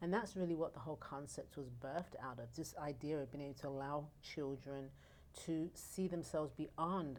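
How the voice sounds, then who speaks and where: Speaking with an English accent, a woman with a very deep, low pitch and vocal fry talks at a moderate pace, with ordinary pitch variation. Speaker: nonprofit founder. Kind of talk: interview.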